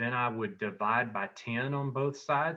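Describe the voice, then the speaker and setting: He speaks with an unremarkable speaking voice, pitched in the medium range. His pace is moderate. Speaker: math teacher. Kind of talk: tutorial. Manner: conversational, thinking aloud with fillers.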